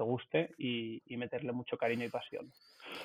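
A man is speaking. His pitch is medium. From Barcelona, Spain. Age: 30s. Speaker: restaurant group founder. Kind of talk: interview. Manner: halting, many repetitions.

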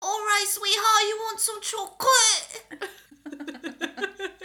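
A female-sounding voice puts on a nasal character voice at an extremely high pitch. The pace is fairly slow. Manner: sweet, doting.

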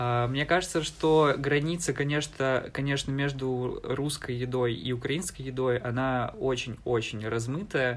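In a plain, everyday voice, a man speaks fairly slowly with hardly any pauses, his medium pitch showing ordinary variation. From eastern Ukraine, Donbas (Alchevsk). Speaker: university student. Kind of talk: casual interview.

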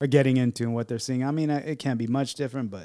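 The man's voice carries a dark, mellow tone. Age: 40s. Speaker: podcast co-host. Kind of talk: casual chat.

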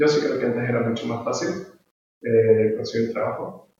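A man speaks at a medium pitch. The room adds an audible echo. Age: 20s. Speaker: podcast co-host. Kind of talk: casual chat.

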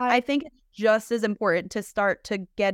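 A woman with a normal speaking voice speaks at a fairly high pitch with ordinary pitch variation, in a dry, close sound with no echo, on a very clean recording with a silent background. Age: 30s. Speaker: pediatric physical therapist. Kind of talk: casual interview chat.

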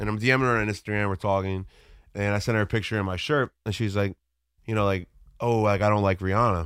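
In a very clean recording with a silent background, a man speaks very fast in a fairly low pitch with fairly even intonation. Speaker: podcast co-host and musician. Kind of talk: casual chat.

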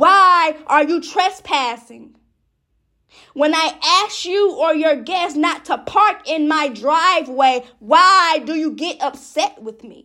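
On a very clean recording with a silent background, a woman uses a raised, projected voice at an extremely high pitch, with a bright, sharp tone, ordinary pitch variation, a very slow pace and big swings in loudness. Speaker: poet. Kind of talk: poetry reading, spoken-word poem. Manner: rhythmic, repetitive; defiant, indignant.

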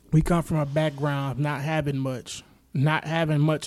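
On a very clean recording with a silent background, a man speaks in a fairly high voice with monotone, flat intonation. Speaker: podcast host. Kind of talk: casual chat. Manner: laid-back.

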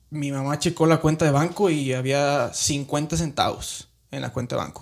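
In an ordinary speaking voice, a man talks at a moderate pace with fairly high pitch and fairly even intonation, hardly pausing at all. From Mexico, Guanajuato. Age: 30s. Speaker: immigrant sharing life story. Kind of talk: interview testimony.

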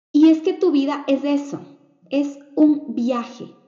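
A woman is speaking. Her pace is very slow. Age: 30s. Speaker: podcast host, digital entrepreneur. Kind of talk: motivational monologue.

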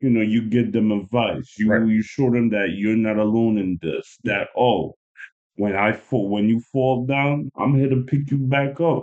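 A man speaks in an ordinary speaking voice at a medium pitch with ordinary pitch variation. His loudness stays very even. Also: fairly slow pace. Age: 30s. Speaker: guest. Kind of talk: casual chat. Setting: studio.

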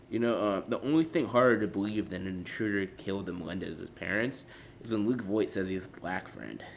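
Pitch rises and falls in an ordinary way in a normal speaking voice. The delivery is fairly quick. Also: man, fairly low pitch for a man. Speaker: comedy podcast host. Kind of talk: stand-up style roast comedy, insult jokes on a podcast.

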